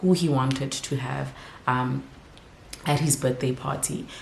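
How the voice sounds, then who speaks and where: A woman with a very deep, low voice speaks at a moderate pace. Audible room echo and noticeable background noise fill the recording. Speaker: vlogger and mother. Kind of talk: casual vlog talk to camera. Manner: whispering.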